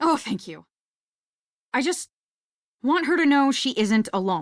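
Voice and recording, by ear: Using a put-on character voice, a woman speaks high and fairly slowly with big pitch swings, in a dry, close sound with no echo on a very clean recording with a silent background.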